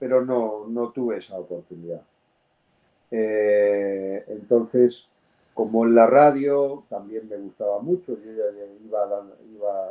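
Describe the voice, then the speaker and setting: This man's voice has a dark, mellow tone. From Spain, Madrid. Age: 60s. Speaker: voice actor and audiobook narrator. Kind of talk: interview. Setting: podcast. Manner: hesitant fillers.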